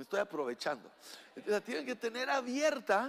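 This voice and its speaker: Animated in tone, a man speaks at an extremely high pitch. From Mexico. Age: 60s. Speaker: pastor. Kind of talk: sermon. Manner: halting.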